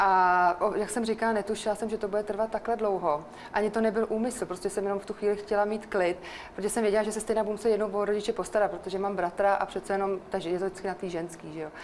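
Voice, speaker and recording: Over noticeable background noise, a woman talks very fast at a medium pitch with monotone, flat intonation. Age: 40s. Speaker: guest sharing personal story. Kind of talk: personal testimony in radio chat.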